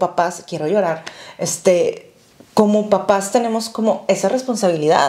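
The pace is fairly slow. Pitch variation is ordinary. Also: woman. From Mexico. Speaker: podcast co-host. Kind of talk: casual chat. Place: home room. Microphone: lapel.

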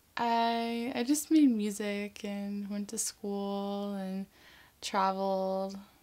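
With a dark, mellow tone, a woman talks using fairly even intonation. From US South, Atlanta, Georgia. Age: 20s. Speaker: model. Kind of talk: interview answers. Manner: casual, filler-heavy. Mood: relaxed, smiling. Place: home room.

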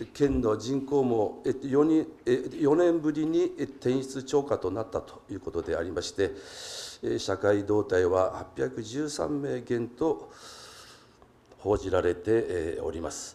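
A man talking at a very slow pace, with big swings in loudness. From Japan. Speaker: city council member. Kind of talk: council general question. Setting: council chamber. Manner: halting with many fillers; formal. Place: hall. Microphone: podium.

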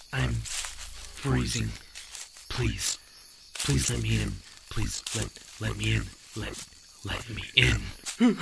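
A raspy, put-on character voice from a man at a very slow pace, with long, frequent pauses and clear background noise. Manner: pleading, repetitive, broken mimicry.

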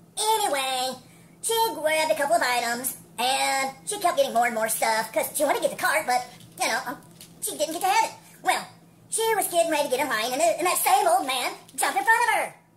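A cartoonish character voice, pitched high. The delivery is very fast. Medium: puppet.

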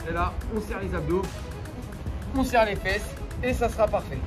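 Clear music sits in the background while a man speaks at a moderate pace. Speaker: fitness coach. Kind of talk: workout tutorial instruction. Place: open country.

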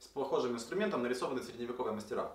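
A man is speaking. His voice carries audible room echo. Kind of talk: explanatory video commentary. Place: workshop.

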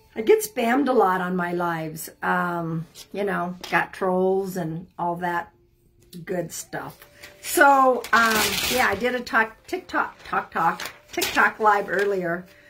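The speaker is a woman talking at a very slow pace. Noticeable background noise runs behind her. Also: ordinary pitch variation. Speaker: live reading host. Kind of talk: casual live stream chat. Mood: friendly, cautioning. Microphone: phone near.

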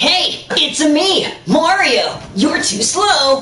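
A cartoonish character voice speaks at a high pitch. The pace is very slow. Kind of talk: cartoony. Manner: playful taunting.

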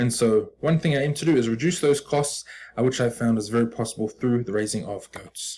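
A man with a New Zealand accent talks at a fairly quick pace in a somewhat breathy voice, with light background noise. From New Zealand, Auckland. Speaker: business student. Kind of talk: presentation pitch. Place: home room. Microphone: webcam.

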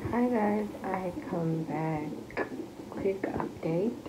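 Loud background noise fills the clip. A woman speaks at a very slow pace. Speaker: expectant mother vlogger. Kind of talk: casual vlog chat. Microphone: phone near.

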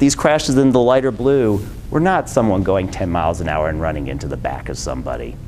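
Speaking with an American accent, a man makes very wide pitch swings. Light background noise sits behind him. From Michigan, Detroit; Michigan. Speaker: transportation planner; presenter. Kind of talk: presentation. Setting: lunch talk with live audience. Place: meeting room.

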